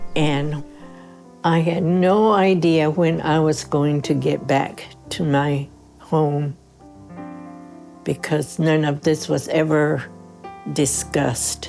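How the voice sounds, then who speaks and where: A woman speaks very slowly with a very deep, low pitch and a New Mexico accent. Her loudness stays very even, long pauses come often, and music plays in the background. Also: ordinary pitch variation. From Laguna Pueblo, New Mexico. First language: Keresan. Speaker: retired nurse. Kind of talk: oral history interview answer.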